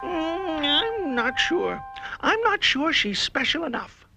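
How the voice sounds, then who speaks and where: Over faint background music, a female-sounding put-on character voice speaks high and at a fairly slow pace. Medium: comedy sketch.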